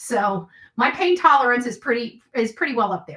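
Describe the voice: A woman speaks with a fairly bright tone and a slightly husky edge.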